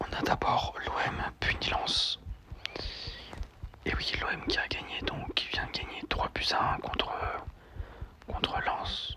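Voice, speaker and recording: Whispering, a man speaks over noticeable background noise. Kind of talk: ASMR whisper talk about sports news. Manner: whispered, soft-spoken.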